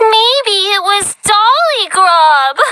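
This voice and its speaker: A female-sounding put-on character voice reaches an extremely high pitch. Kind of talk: sing-song villain. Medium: video game. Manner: saccharine, giggling, sudden menace.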